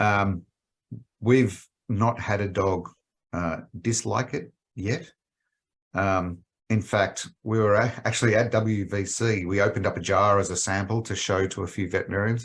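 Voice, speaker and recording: Fairly low male voice with an Australian accent and fairly even intonation. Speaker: pet health company executive. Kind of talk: podcast interview. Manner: hesitant with frequent fillers.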